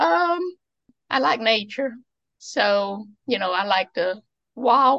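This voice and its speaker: With an Appalachian accent, a woman speaks in lively intonation. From Eastern Kentucky. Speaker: museum founder and author. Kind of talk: casual interview.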